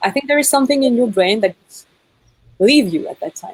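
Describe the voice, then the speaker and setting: A woman with a French accent speaks at a fairly quick pace, her pitch swinging very widely. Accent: French accent when speaking English. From France. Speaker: actress and singer. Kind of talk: interview. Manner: halting.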